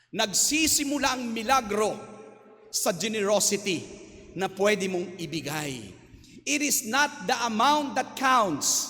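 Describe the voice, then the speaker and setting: Raising and projecting his voice, a man speaks very slowly at a high pitch with lively intonation. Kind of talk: homily. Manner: loud; animated.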